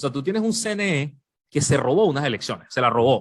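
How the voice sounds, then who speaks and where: A man's animated, medium-pitched voice at a fairly quick pace. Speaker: journalist. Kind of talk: podcast interview.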